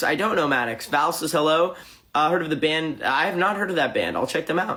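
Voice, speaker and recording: The man talks at a fairly quick pace. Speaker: musician livestreaming to fans. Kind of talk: live stream chat reading comments. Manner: fast; halting.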